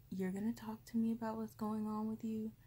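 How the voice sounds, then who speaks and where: A soft-spoken woman talks in a soothing tone. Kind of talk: soft personal attention roleplay with advice. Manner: soft, close, soothing ASMR voice. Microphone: phone near.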